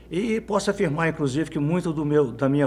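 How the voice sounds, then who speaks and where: A man at a fairly quick pace, dark and mellow in tone. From Minas Gerais interior, Brazil. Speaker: journalist. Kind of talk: interview. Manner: halting.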